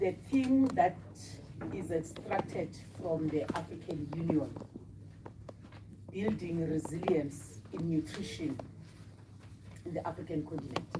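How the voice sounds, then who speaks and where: A woman talks at a fairly slow pace with long, frequent pauses. Her pitch swings very widely, and background noise is noticeable. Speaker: parliamentarian. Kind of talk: parliamentary debate. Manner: formal.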